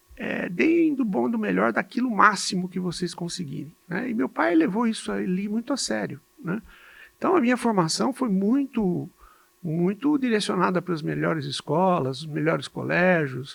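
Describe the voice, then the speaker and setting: Here a man talks at a moderate pace with a high pitch. His voice moves in very wide pitch swings. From Brazil, São Paulo state (Jundiaí). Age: 60s. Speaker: physician and medical educator. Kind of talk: podcast interview. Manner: halting, with repetitions.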